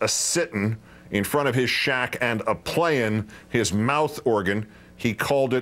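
Pitch varying in an ordinary way through a natural reading voice

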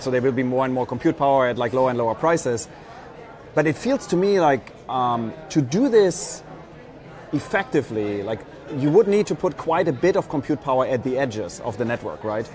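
A man speaks at a very fast pace with a fairly high pitch and lively intonation. There is noticeable background noise. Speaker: startup program executive and interviewer. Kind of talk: live event interview. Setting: live stream from conference floor. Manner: enthusiastic, filler-heavy.

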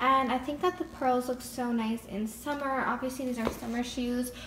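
Noticeable background noise behind a woman's high voice, her delivery at a moderate pace. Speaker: vlogger. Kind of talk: casual vlog chat. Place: home room. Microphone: phone near.

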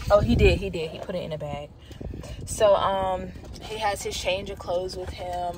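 Noticeable background noise and audible room echo surround the recording. A woman talks through it at a moderate tempo. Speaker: vlogger / mother. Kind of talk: casual vlog narration. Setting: handheld camera, on the go. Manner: casual, chatty.

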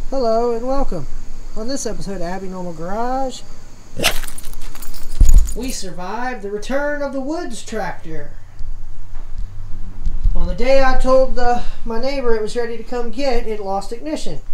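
Speaking at a moderate pace, a woman leaves long, frequent pauses and swings widely in loudness. Room echo and light background noise can be heard. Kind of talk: tutorial. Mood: relaxed, jokey. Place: garage. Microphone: phone near.

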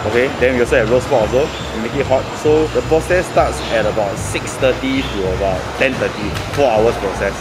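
There is loud background noise behind this man, who speaks at a fairly quick pace. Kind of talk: interview answer. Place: market.

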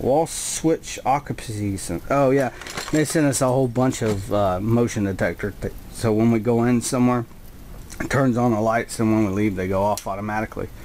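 Over light background noise, a man speaks at a moderate pace with ordinary pitch variation. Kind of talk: casual tour commentary. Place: home room. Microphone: phone near.

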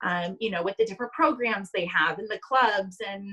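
A woman talks at a moderate pace in a normal speaking voice with ordinary pitch variation. The background is quiet. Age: 20s. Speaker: sports team marketing staff; interview guest. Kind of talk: casual interview. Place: home room. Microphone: video call.

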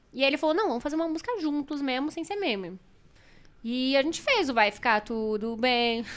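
A woman talks at a fairly quick pace in a high pitch. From Brazil. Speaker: streamer and show presenter; streamer, presenter. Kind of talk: casual chat. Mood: animated, candid storytelling. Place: studio. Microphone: studio mic.

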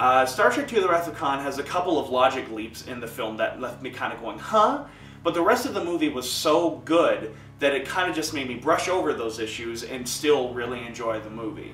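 A man at a fairly quick pace, with light background noise and audible room echo. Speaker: film fan vlogger. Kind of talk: casual vlog commentary. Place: home room.

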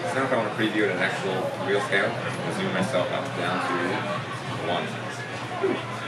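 A man keeps a moderate pace and ordinary pitch variation while music plays in the background. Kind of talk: demo commentary and interview answer. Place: booth.

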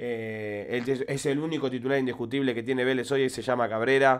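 A man speaks with an Argentine accent at a moderate pace. His intonation is monotone and flat against a quiet background. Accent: Rioplatense Argentine Spanish. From Argentina. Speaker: football fan commentator. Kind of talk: angry fan rant. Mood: frustrated, angry rant. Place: home room. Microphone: studio mic.

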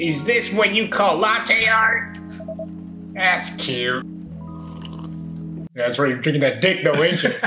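Over loud background music, a man puts on a high-pitched character voice and speaks at a fairly slow pace. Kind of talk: comic overacting. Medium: game stream. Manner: teasing, brash.

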